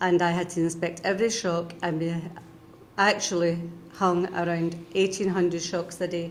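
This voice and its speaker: In a Scottish accent, a woman with a fairly low pitch speaks at a moderate pace amid audible room echo. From Scotland. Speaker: retired union member. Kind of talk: interview.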